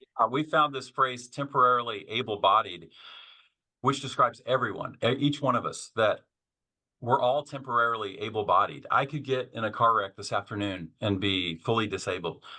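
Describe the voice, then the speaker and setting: With an American accent, a man talks in a normal speaking voice at a medium pitch. His pace is moderate and his pitch variation ordinary. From Kansas. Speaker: author and seminary professor. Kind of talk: podcast interview.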